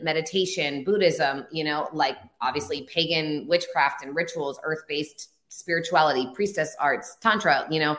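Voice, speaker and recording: A woman with an American accent and a normal speaking voice talks at a moderate pace with a fairly low pitch and ordinary pitch variation. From northern California, Humboldt County. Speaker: spiritual teacher and author. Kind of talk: interview.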